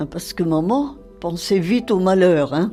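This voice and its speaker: Music plays in the background. A woman speaks at a fairly slow pace with lively intonation. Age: 80s+. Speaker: war witness. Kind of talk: interview answer.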